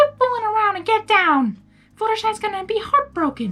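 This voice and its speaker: A woman puts on a squeaky character voice with an extremely high pitch, talking at a fairly quick pace. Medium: read story. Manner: blunt, folksy.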